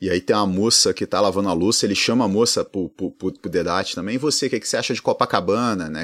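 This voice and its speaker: Very clean recording, silent background. A man speaks at a very fast pace. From Rio de Janeiro, Brazil. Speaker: economics professor, podcast co-host. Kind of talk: casual chat. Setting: at home.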